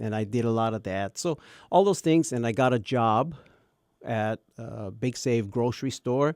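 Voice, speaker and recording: A man with a Hawaiian accent talks at a moderate pace and medium pitch, in a dry, close sound with no echo. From Hawaii, Kauai. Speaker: radio broadcaster. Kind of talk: casual chat.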